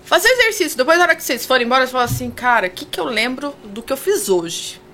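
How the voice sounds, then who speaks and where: A woman speaks at a high pitch and a fairly quick pace, her pitch swinging very widely. Noticeable background noise is present. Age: 40s. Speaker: communicator and confidence mentor. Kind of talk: casual interview chat. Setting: radio studio.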